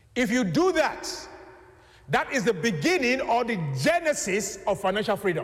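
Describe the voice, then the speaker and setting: Against noticeable background noise, a man speaks at a moderate pace with an extremely high pitch, very wide pitch swings, very even loudness and long, frequent pauses. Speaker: preacher. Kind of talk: sermon. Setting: church.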